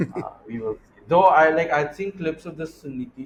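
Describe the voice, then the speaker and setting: With an American accent, a man talks at a fairly slow pace using lively intonation. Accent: between Indian and American. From India and US. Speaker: venture capitalist, podcast co-host. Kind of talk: casual business chat.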